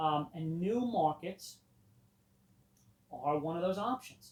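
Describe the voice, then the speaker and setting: A man talks loudly. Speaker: history teacher. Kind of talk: classroom lecture. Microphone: no microphone on.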